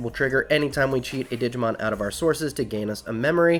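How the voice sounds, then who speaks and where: A man speaks very fast at medium pitch with lively intonation. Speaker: card game YouTuber. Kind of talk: deck profile tutorial. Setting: home recording late at night. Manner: kept quieter than usual; animated.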